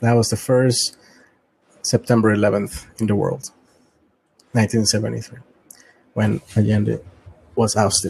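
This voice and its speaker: Somewhat breathy, the speaker talks very slowly with a Latin American accent and fairly even intonation. Long, frequent pauses break up the speech. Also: man, fairly low pitch for a man. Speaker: private sector intelligence analyst. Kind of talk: casual discussion. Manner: halting.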